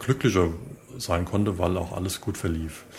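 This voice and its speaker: Fairly even intonation runs through this man's somewhat breathy voice. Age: 40s. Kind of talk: interview answers.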